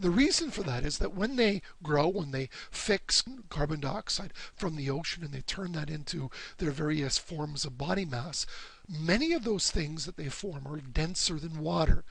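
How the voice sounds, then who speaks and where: A man at a moderate pace, with audible room echo. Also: ordinary pitch variation. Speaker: university lecturer. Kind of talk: lecture.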